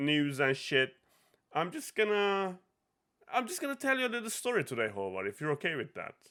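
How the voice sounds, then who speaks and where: A raised, projected voice with a bright, sharp tone and very wide pitch swings moves at a moderate pace on a very clean recording with a silent background. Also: man. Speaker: podcast host. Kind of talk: casual chat.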